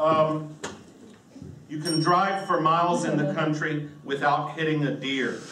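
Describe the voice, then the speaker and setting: With an American accent and monotone, flat intonation, a man talks at a fairly slow pace in a fairly high pitch, over light background noise with audible room echo. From US South, western North Carolina. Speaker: comedian. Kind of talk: stand-up. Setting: stage with audience. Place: stage.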